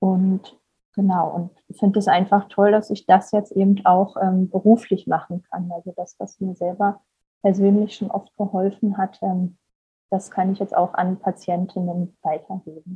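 A woman's somewhat breathy, medium-pitched voice, fairly slow and monotone with flat intonation. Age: 30s. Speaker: psychologist and mind-body therapist. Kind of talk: interview.

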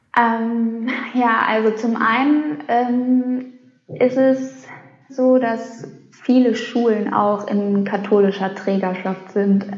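A woman's fairly high voice at a very slow pace, with fairly even intonation, very even loudness, audible room echo and noticeable background noise. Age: 30s. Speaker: sex educator. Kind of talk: casual interview.

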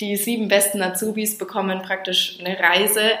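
A woman is speaking. Noticeable background noise can be heard. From Franconia, Germany. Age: 20s. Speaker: hotel trainee. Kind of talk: interview.

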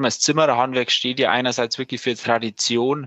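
The pitch of this man's voice is medium. He talks at a moderate pace. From Lower Bavaria, Landshut. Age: 20s. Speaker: master carpenter and company manager. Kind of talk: casual interview.

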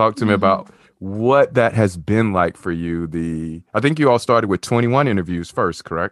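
A man with a Southern US accent talks at a fairly low pitch against a quiet background. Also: moderate pace. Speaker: podcast host. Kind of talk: podcast interview, casual chat. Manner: warm, upbeat.

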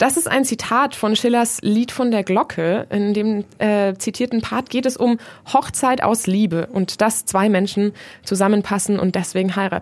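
This woman has a plain, everyday voice with a fairly high pitch and ordinary pitch variation. She keeps a moderate pace and very even loudness. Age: 20s. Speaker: student radio host. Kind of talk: moderated discussion.

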